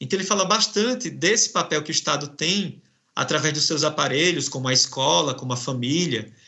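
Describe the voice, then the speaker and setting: Here a man talks at a fairly quick pace with lively intonation. He has a northeastern Brazilian accent. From Brazilian Northeast. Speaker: professor and researcher. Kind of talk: academic interview. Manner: hesitant, many fillers.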